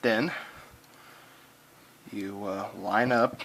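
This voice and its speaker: Over noticeable background noise, a man with a fairly low pitch talks with fairly even intonation. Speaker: firearms hobbyist. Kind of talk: informal how-to demonstration.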